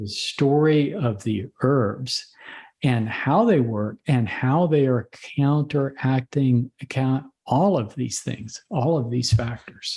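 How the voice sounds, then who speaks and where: A man's dark, mellow, somewhat breathy voice at medium pitch, very slow in pace, with ordinary pitch variation. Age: 60s. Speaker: physician. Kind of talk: interview.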